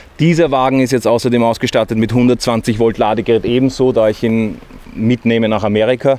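A man with an ordinary speaking voice talks at a medium pitch and a fairly quick pace, with fairly even intonation, very even loudness and a dry sound with no echo. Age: 40s. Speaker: van builder. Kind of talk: product walkthrough. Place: street.

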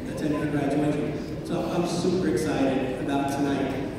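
A man at a moderate pace, with strong room echo and noticeable background noise. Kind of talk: welcome speech. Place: hall.

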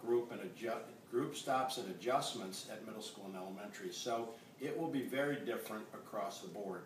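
Audible room echo surrounds a man speaking at a fairly quick pace. There is light background noise. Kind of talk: interview answer. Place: kitchen. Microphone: camera far.

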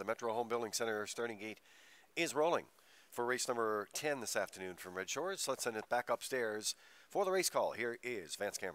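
A normal speaking voice from a man, mid-range in pitch and fairly brisk in tempo. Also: lively intonation. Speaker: racing broadcast host. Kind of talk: sports broadcast.

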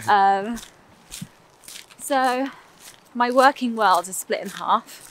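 Speaking very slowly with a London accent, a woman is recorded in a dry space with no echo over light background noise. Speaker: music producer, singing teacher, voiceover artist. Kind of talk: casual interview while walking. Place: waterside. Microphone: phone near.

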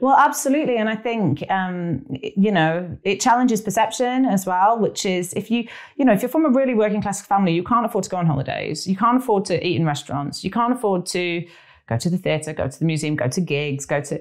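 A woman speaks at a very fast clip with a Lancashire accent, her medium pitch swinging very widely. The background is quiet. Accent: northern English (Lancashire). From northern England. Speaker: actress, writer and film director; podcast guest. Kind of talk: casual interview. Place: home room. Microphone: lapel.

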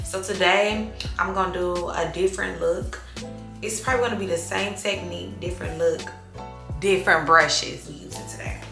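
Clear music plays behind a woman speaking at a moderate pace with long, frequent pauses. Her loudness swings widely. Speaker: beauty vlogger. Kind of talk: casual vlog chat. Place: bathroom. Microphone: phone near.

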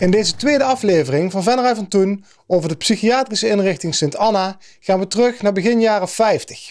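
A quiet background behind a man's high voice. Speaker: TV presenter. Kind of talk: documentary presentation. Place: studio.

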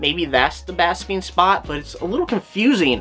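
A man talks at a moderate pace. Faint music plays in the background. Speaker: reptile channel host. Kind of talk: commentary. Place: home room. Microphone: webcam.

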